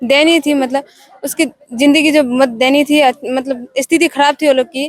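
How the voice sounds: At a moderate pace, a woman talks in a high pitch with fairly even intonation. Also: dry, close sound with no echo.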